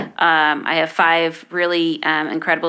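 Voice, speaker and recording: The intonation stays monotone and flat. Noticeable background noise runs underneath. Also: woman. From Detroit area, Michigan (downriver), moved around. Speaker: small business program director. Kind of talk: interview.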